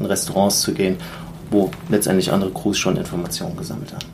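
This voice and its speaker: Speech at a fairly quick pace comes with noticeable background noise and audible room echo. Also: man. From Germany, Mainz area. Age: 30s. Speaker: airline co-pilot and app founder. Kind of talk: interview. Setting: recorded on location in the USA.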